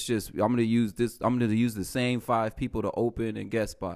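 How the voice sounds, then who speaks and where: Very clean recording, silent background. A man with a plain, everyday voice talks fairly quickly at a medium pitch. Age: 30s. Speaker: stand-up comedian. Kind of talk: casual chat.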